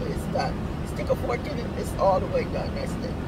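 Heavy background noise is loud throughout. Through it, a woman speaks. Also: dry sound with no echo. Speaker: vlogger. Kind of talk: casual vlog chat. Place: car. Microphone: phone near.

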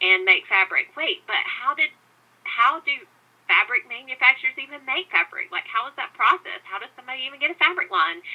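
Pitch swings very widely at a moderate pace in this voice with a Southern US accent. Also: woman. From US South. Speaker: podcast host. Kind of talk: interview conversation.

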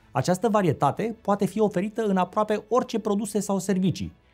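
The speech moves at a fairly quick pace while faint music plays in the background. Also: man. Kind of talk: interview-style explanatory talk. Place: studio.

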